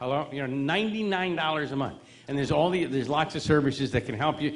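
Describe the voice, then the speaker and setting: With an American accent, a man speaks at a fairly quick pace. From New York. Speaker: seminar presenter. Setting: stage. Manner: fast talker.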